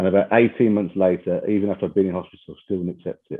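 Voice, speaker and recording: The speech comes in a Brummie accent at a fairly quick pace, its intonation fairly even. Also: man. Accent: Birmingham (Brummie). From England, Birmingham. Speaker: chief executive, podcast guest. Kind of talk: podcast interview. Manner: conversational, with frequent fillers.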